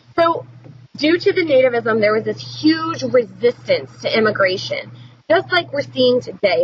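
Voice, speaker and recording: A woman speaks over noticeable background noise. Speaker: teacher. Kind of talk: recorded lecture. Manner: casual with many fillers.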